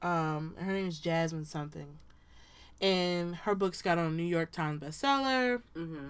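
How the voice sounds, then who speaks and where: At a moderate pace and with ordinary pitch variation, the speaker has an American accent and an animated tone. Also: woman, fairly low pitch for a woman. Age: 20s. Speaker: podcast co-host. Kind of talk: casual chat between friends. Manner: animated, laughs often.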